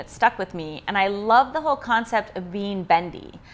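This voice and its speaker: In an American accent, a woman at a medium pitch speaks with an unremarkable speaking voice. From US, Idaho (Pocatello). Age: 30s. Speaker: yoga and fitness instructor. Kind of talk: personal interview.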